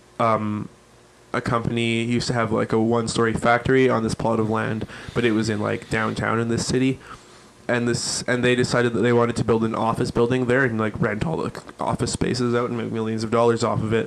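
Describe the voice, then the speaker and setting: Over noticeable background noise, a man at medium pitch talks at a very fast pace in a monotone, flat intonation. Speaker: podcast host. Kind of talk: casual chat.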